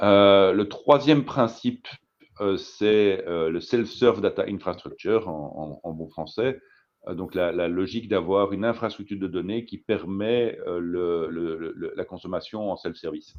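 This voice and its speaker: Speaking with a Belgian accent, a man keeps a fairly slow pace. His pitch is fairly low, with ordinary variation. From Belgium. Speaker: data consultant. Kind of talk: presentation talk. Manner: halting, many fillers and repetitions.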